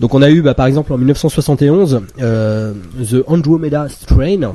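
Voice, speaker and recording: The pitch moves with ordinary variation. Noticeable background noise runs underneath. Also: man. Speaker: film podcast panelist. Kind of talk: casual chat.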